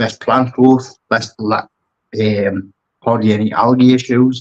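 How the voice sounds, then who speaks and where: This voice carries a strong Geordie accent. The intonation is monotone and flat. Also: man. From northeast England, Newcastle. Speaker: aquascaper and brand ambassador. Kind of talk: podcast interview.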